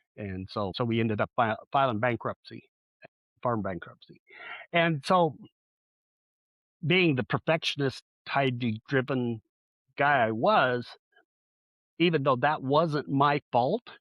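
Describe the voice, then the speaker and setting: With an American accent, a man speaks at a medium pitch with lively intonation and long, frequent pauses. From southeast Colorado, US. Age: 60s. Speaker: relationship coach. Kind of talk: interview. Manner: halting.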